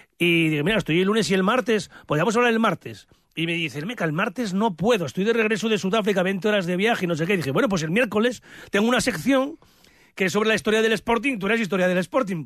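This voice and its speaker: A man speaks at a very fast pace. His voice is high-pitched, with ordinary pitch variation. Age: 60s. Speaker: sports radio journalist. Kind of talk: casual chat.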